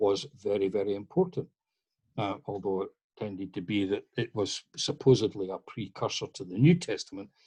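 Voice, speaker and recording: Speaking with a Scottish accent over a quiet background, a man has a dark, mellow tone, a fairly low pitch and a somewhat breathy voice. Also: dry, close sound with no echo. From Scotland. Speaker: masonic historian lecturer. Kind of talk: lecture Q&A answer.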